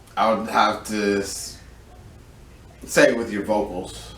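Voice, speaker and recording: At a very slow pace, a man with a fairly low pitch speaks in fairly even intonation. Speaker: streamer. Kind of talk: casual chat.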